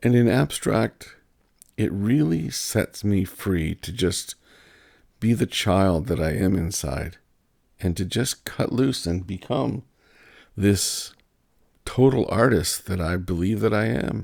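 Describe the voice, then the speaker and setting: The voice moves at a very slow pace with long, frequent pauses, vocal fry, and lively intonation. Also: man, very deep, low pitch for a man. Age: 60s. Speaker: artist and painter. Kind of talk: casual monologue. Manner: halting, with repeated words.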